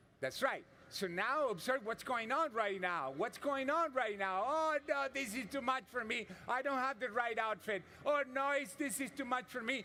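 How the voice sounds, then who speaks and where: A man speaks in a raised, projected voice at an extremely high pitch, his bright, sharp tone animated, at a moderate pace with ordinary pitch variation. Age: 60s. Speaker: yoga instructor. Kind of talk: live yoga class instruction.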